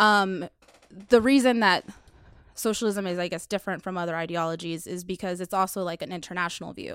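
A woman with an American accent and an unremarkable speaking voice at medium pitch, fairly quick, with fairly even intonation and big swings in loudness, on a very clean recording with a silent background. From Dallas, Texas (Webb Chapel area). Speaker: community organizer. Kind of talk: casual interview.

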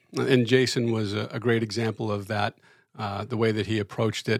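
A man speaks at a medium pitch. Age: 60s. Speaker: church teacher, retired. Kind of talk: casual chat. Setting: studio. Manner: halting.

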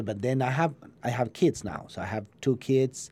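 A man speaks with an Argentine accent. His medium-pitched voice has a dark, mellow tone. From Argentina. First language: Spanish. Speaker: chef. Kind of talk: interview. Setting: studio. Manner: halting.

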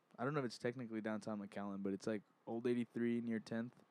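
At a fairly quick pace, a man with a medium pitch speaks in a dry, close sound with no echo. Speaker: podcast co-host. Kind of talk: casual chat.

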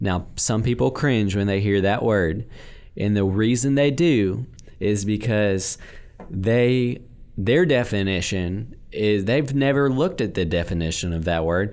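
Speaking with an American accent, a man talks at a fairly slow pace in a fairly low pitch, with lively intonation and very even loudness. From northwest Louisiana (Bossier). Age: 20s. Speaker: house flipper. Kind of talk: casual interview. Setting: studio. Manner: energetic.

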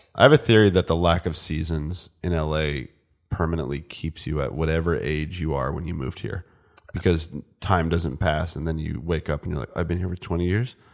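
A man's very deep, low voice with an American accent, vocal fry, ordinary pitch variation and a fairly quick pace. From Northern California (Napa Valley), born New Jersey. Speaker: filmmaker, cinematographer. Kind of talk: casual chat. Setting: host's house.

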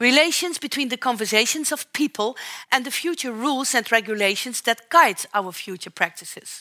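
Speaking with a Dutch accent, a woman uses a high pitch, a bright, sharp tone and lively intonation at a moderate pace, in a dry, close sound with no echo. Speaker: professor of socio-ecological interactions. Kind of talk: public lecture. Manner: formal.

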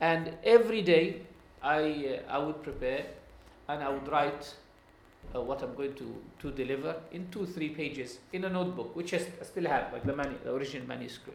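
With an Arabic accent, a man speaks at a fairly high pitch against noticeable background noise. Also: ordinary pitch variation, moderate pace. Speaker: Islamic scholar and Quran teacher. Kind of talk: lecture. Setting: classroom with live audience. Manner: halting.

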